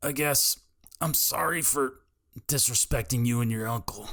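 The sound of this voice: Putting on a character voice, a man speaks at a moderate pace and medium pitch, sounding raspy and strained.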